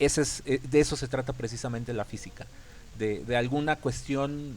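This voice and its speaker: The man's intonation stays fairly even as he talks. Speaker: physics teacher. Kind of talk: lecture. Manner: fast; halting.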